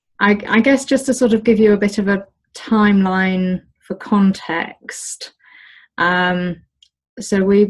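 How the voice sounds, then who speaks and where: Speaking with a British accent, a woman keeps her intonation fairly even. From Britain. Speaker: olive farmer. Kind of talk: interview. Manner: hesitant, many fillers.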